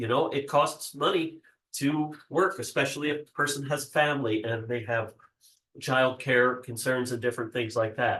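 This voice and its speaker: A man speaks at a moderate pace in a bright, sharp tone, with ordinary pitch variation. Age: 60s. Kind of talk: workshop presentation. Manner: hesitant with frequent fillers.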